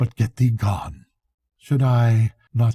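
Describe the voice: Quiet surroundings behind plain reading aloud.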